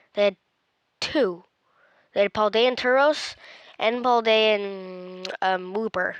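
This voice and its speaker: Very slow speech with long, frequent pauses, very even loudness and ordinary pitch variation over a quiet background. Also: woman, fairly high pitch for a woman. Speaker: gaming youtuber. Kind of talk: casual commentary. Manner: halting.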